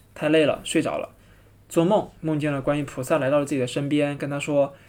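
The recording is very clean, with a silent background. A man speaks at a fairly quick pace in a fairly high pitch. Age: young. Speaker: travel podcaster. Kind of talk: solo travel narration. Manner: hesitant, many filler sounds.

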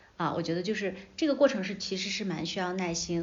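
A woman speaks at a medium pitch, and audible room echo surrounds her voice. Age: 30s. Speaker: media veteran and entrepreneur. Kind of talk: casual interview chat.

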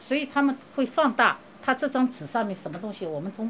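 Her fairly high voice swings very widely in pitch as the woman talks at a fairly quick pace. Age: 60s. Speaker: infectious disease researcher. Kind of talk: interview.

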